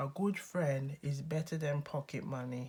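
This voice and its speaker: Speaking fairly slowly, a woman has a very deep, low pitch and a dark, mellow tone that is somewhat breathy. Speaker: tarot reader. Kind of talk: casual tarot reading to camera. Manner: friendly, upbeat.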